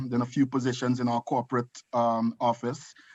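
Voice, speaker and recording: A man speaks with a Trinidadian accent. His intonation is monotone and flat over a quiet background. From Trinidad and Tobago. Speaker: nursing home executive and author. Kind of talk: video call talk.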